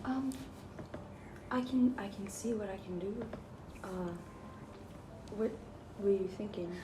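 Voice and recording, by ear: A woman talks at a slow pace with ordinary pitch variation. The room echo is audible. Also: medium pitch for a woman.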